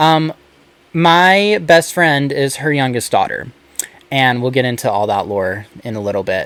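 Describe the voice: This man has an American accent, a medium pitch and a fairly bright tone. His pitch variation is ordinary and his pace fairly slow.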